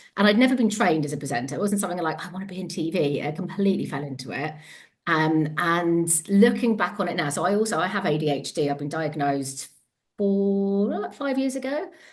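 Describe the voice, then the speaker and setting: A woman with a Devon accent talks at a fairly quick pace, her pitch fairly low and her intonation lively. Audible room echo surrounds her voice. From England, Devon. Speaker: empowerment coach and former TV presenter. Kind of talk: podcast interview. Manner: fast, words jumbled at times; animated.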